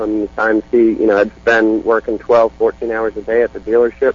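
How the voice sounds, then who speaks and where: A man at a fairly quick pace, medium in pitch. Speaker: stock car racing driver. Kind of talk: casual interview.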